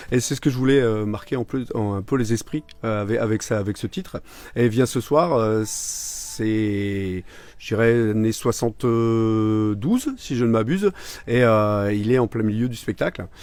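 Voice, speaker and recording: Over noticeable background noise, a man speaks fairly slowly at medium pitch with ordinary pitch variation. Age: 40s. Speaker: singer. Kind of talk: interview. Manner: halting.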